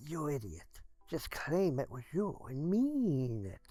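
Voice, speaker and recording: Music plays behind a put-on character voice pitched low-to-middle, moving at a fairly slow pace. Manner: scolding, insidious.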